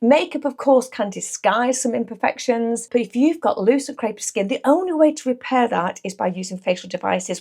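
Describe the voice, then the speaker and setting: A woman talks at a fairly quick pace with lively intonation in an unremarkable speaking voice. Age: 60s. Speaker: beauty therapist and makeup artist. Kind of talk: makeup tutorial.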